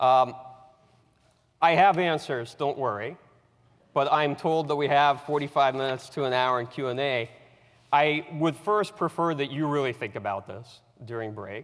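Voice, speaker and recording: A man speaks in a fairly high pitch with ordinary pitch variation. He leaves long, frequent pauses. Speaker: military analyst. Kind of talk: lecture. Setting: auditorium with audience. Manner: fast.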